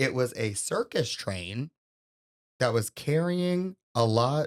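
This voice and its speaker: Recorded very cleanly with a silent background and a dry, close sound with no echo, a man speaks at a medium pitch with very wide pitch swings. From Louisiana. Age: 20s. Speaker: podcast co-host. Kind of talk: casual chat.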